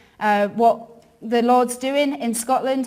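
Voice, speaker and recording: Fairly high female voice with fairly even intonation and audible room echo. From northern England, York. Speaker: ministry worker. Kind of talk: church talk. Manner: casual, many fillers.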